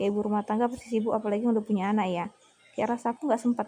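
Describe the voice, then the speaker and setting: Fairly even intonation comes with a dark, mellow tone. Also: woman. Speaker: teacher and vlogger. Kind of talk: casual cooking vlog chat.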